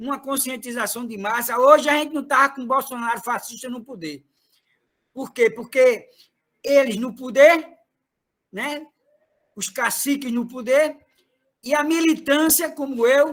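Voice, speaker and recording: A man speaks in an extremely high pitch with an animated tone and ordinary pitch variation. His loudness swings widely, and he goes at a fairly slow pace with long, frequent pauses. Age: 60s. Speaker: retired trade unionist, party activist. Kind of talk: political meeting speech.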